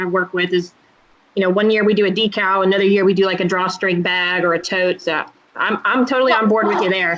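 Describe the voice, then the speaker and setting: A woman with a Southern US accent talking at a very fast pace over noticeable background noise. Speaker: board interviewer. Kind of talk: interview.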